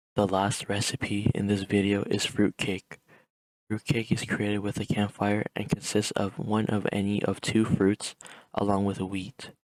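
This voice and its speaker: A soft-spoken man at a fairly low pitch, flat and monotone, at a fairly slow pace, with a dry, close sound and no echo. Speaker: gaming guide creator. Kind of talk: tutorial.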